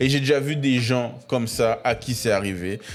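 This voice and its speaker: At a moderate pace, a man with a medium-pitched voice talks in an animated tone. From Paris region, France (Créteil). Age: 20s. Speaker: podcast host. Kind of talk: motivational monologue. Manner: animated, casual slang.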